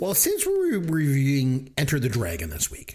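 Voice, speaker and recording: A man speaks with a Canadian accent in a playful tone at a moderate pace. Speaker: movie review podcast host. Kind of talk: casual chat. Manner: joking, playful.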